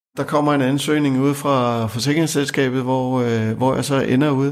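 A man's medium-pitched, monotone, flat voice at a fairly slow pace, on a very clean recording with a silent background. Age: 50s. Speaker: job seeker, former IT and insurance worker. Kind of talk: interview testimony. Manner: halting, many fillers and repetitions.

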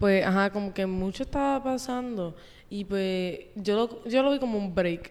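A woman talks at a fairly slow pace with ordinary pitch variation. She has a normal speaking voice. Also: medium pitch for a woman. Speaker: host's younger sister. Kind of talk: casual chat. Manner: soft-spoken.

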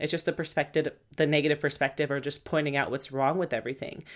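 On a very clean recording with a silent background, a woman with a very deep, low pitch speaks at a very fast pace in an animated tone. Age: 30s. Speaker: podcast host, mindset and fitness coach. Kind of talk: casual monologue.

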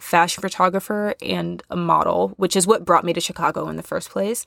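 A woman's voice comes through dry and close with no echo, on a very clean recording with a silent background. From US Midwest. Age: 20s. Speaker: podcast host. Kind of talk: casual monologue. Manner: chatty, laughing often.

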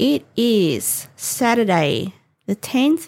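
The speaker has an Australian accent and very wide pitch swings. The recording is very clean, with a silent background. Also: woman. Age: 50s. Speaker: podcast host. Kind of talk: casual monologue.

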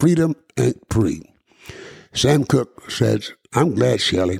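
Somewhat breathy, a man speaks at a very slow pace. His pitch swings very widely. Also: dry, close sound with no echo. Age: 80s. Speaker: radio broadcaster and podcast host. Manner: reminiscing, conversational, repeats words.

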